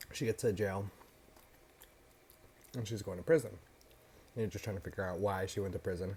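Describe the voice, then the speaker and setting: This man talks at a moderate pace in a fairly low pitch, his dark, mellow tone somewhat breathy, with big swings in loudness and long, frequent pauses. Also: ordinary pitch variation. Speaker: mukbang food channel host. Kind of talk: casual talk to camera. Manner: casual storytelling, recounting a show plot while eating.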